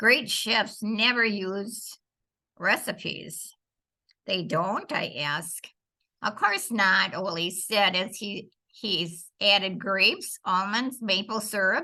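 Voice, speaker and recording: Over a quiet background, the voice has a bright, sharp tone and ordinary pitch variation, delivered at a very slow pace. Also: woman, medium pitch for a woman. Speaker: foster grandparent volunteer reading a children's story. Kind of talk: children's story reading.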